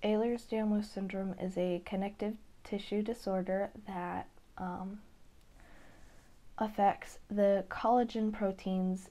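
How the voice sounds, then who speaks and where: The speech is very slow and flat, in a monotone with a dark, mellow tone, broken by long, frequent pauses on a very clean recording with a silent background. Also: woman, medium pitch for a woman. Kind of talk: casual talk to camera. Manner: slow, hesitant.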